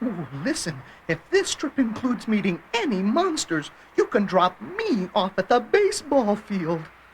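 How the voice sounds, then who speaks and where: A put-on character voice, fairly high in pitch, with a nervous, whiny tone at a moderate pace. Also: female-sounding voice. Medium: audio drama.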